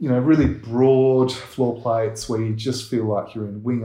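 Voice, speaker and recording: An Australian accent from a man, dark and mellow in tone, with fairly even intonation at a moderate pace. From Perth, Western Australia. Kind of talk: interview. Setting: in a house.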